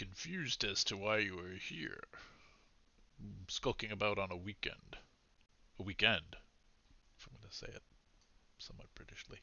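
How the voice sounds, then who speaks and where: Using a put-on character voice, a man speaks at a fairly low pitch and a moderate pace. He takes long, frequent pauses, and his loudness swings widely. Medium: actual play. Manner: courteous, cool, condescending.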